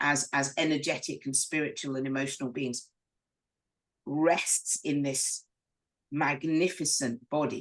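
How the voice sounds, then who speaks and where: A woman with a very deep, low pitch, at a fairly slow pace with long, frequent pauses. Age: 60s. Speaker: spiritual coach. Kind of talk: casual chat. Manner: halting.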